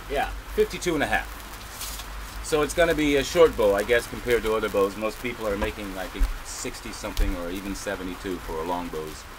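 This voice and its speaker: A man talks very fast with noticeable noise in the background. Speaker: bowyer hobbyist, video maker. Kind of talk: tutorial. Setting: indoors in a cabin. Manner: loud; halting.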